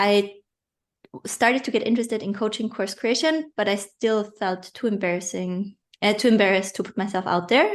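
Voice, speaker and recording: Someone with a non-native accent talks at a fairly quick pace. The pitch varies in an ordinary way, and the background is quiet. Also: woman, medium pitch for a woman. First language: not English. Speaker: online business coach. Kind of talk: interview. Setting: podcast.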